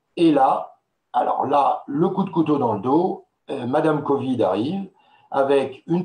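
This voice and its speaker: The man's tone is dark and mellow. His voice rises and falls with ordinary pitch variation. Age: 60s. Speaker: wine marketing expert. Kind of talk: webinar presentation. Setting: online webinar with slides. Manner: hesitant, many filler sounds.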